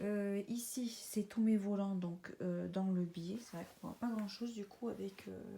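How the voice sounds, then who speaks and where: Noticeable background noise sits behind a woman who speaks fairly slowly at a medium pitch with fairly even intonation. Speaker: sewing vlogger. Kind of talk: casual vlog narration. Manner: hesitant, many filler sounds.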